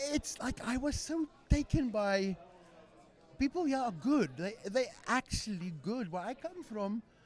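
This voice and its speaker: A man with a South African accent talks at a fairly slow pace. His pitch is extremely high and swings very widely. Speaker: podcast guest. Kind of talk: casual chat.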